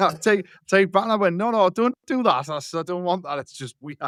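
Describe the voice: Talking fairly quickly in a Geordie accent, a man with a high voice has lively intonation and big swings in loudness, the sound dry and close with no echo. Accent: broad Geordie.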